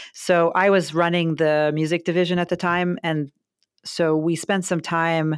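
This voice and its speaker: A woman's very deep, low voice at a fairly slow pace, with an American accent, in a very clean recording with a silent background. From US, Baltimore. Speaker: public radio executive. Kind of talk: interview. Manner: hesitant fillers.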